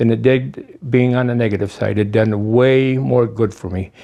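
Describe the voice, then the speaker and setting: In a dark, mellow tone, a man talks at a fairly slow pace with ordinary pitch variation. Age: 70s. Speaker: war veteran. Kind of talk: oral history interview. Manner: halting, repeats words.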